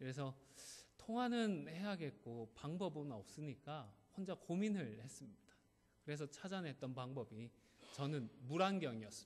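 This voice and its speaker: A man talks at a moderate pace with a slight Gyeongsang accent. His fairly high pitch makes very wide swings. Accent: slight Gyeongsang accent remaining. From South Korea, Gyeongsang (Busan area). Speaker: pastor. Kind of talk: sermon.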